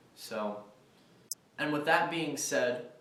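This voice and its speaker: Noticeable background noise and audible room echo fill the recording. A man speaks with fairly even intonation. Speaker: student vlogger. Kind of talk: casual vlog monologue. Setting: outdoors walking on campus. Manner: hesitant, many fillers.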